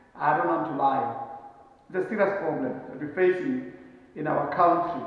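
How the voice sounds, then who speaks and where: A man's lively intonation rings out with strong room echo. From South Africa. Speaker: travel vlogger. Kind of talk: casual monologue to camera. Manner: animated. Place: home room. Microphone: camera far.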